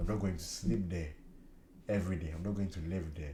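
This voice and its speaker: In a room with audible echo, a man speaks in a dark, mellow, somewhat breathy tone. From Ghana. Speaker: cleaning YouTuber. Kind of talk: casual vlog talk. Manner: repetitive, halting.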